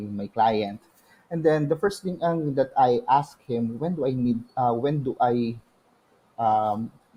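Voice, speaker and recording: A man with a dark, mellow tone speaks at a medium pitch with lively intonation. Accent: Filipino. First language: Tagalog. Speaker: virtual assistant. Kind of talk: testimony. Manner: halting.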